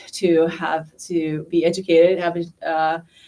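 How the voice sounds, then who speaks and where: The speaker has a Thai accent and a monotone, flat intonation. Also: woman. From northern Thailand. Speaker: school principal candidate. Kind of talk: interview at a community forum. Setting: public community forum. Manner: hesitant, many fillers.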